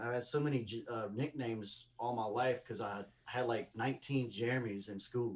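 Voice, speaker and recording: This man has a strong Mississippi accent and a medium pitch. He speaks at a moderate pace with hardly any pauses. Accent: strong Southern (Mississippi). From Mississippi, US South. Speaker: comedian. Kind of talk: casual chat. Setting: video call. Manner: animated.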